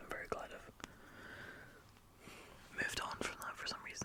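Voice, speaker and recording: A woman whispers at a very fast pace over noticeable background noise. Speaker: ASMR creator. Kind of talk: casual talk to camera. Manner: whispered, chatty.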